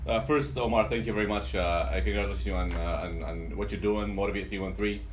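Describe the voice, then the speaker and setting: A man with an Arabic accent, his voice carrying audible room echo. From Yemen, then Dearborn, Michigan from age 14. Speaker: pharmacist and business owner. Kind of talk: interview. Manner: halting, many fillers and repetitions.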